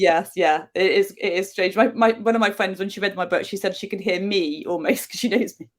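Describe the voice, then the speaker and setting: Her pitch is medium with ordinary variation, and her loudness swings widely. The woman talks at a fairly quick pace with hardly any pauses. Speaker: novelist. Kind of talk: interview. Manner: fast.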